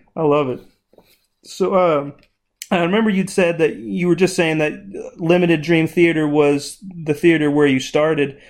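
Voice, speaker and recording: Moderate pace and ordinary pitch variation from a man with a normal speaking voice, pitched fairly high. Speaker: podcast host. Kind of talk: casual interview.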